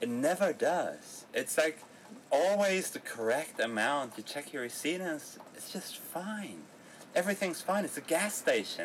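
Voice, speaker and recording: At a fairly slow pace, a high-pitched man talks with lively intonation and big swings in loudness. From Berlin, Germany. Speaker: travel podcast co-host. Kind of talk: casual chat.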